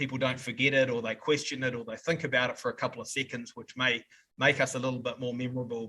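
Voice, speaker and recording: Very fast speech with a New Zealand accent comes in a bright, sharp tone and monotone, flat intonation. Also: man. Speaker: software company representative. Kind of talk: podcast interview answer.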